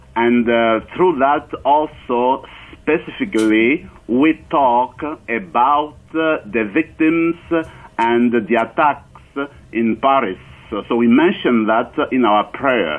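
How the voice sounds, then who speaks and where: A man talks very slowly with a French accent. His voice is medium in pitch with ordinary variation. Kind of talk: radio interview. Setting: phone call.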